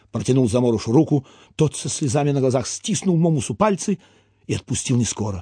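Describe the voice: The intonation is lively in this plain reading aloud.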